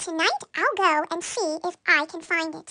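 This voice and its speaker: A squeaky, put-on character voice from a woman, pitched extremely high. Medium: read story. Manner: wondering, innocent.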